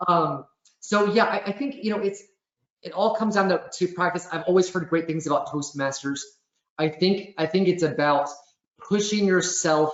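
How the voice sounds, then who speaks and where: A man with a high pitch and ordinary pitch variation. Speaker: webinar presenter. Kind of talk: webinar Q and A. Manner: fast.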